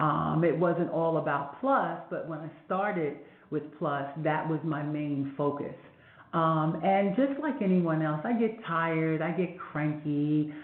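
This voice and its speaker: Speaking at a fairly slow pace with audible room echo, a woman has a very deep, low voice with ordinary pitch variation. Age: 60s. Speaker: fashion event producer. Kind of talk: podcast interview.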